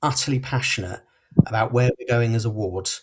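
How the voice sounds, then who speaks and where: The voice is somewhat breathy. It has a southern English accent. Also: man. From southern England, Portsmouth. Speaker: local election candidate. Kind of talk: closing campaign speech. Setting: podcast hustings.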